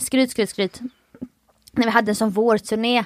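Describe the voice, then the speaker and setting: Here a woman talks. She keeps to a moderate pace. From Halmstad, southwest Sweden. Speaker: podcast co-host. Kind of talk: casual chat.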